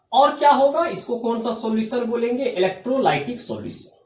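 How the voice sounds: A man with an extremely high pitch and a slightly mellow tone talks at a fairly quick pace with lively intonation, and audible room echo surrounds his voice.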